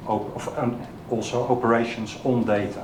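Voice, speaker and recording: A man speaks at a medium pitch with a Dutch accent, his intonation monotone and flat. Audible room echo and noticeable background noise surround his voice. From Netherlands. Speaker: software developer, conference speaker. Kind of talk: technical talk. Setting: meetup stage with audience. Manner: halting, many fillers.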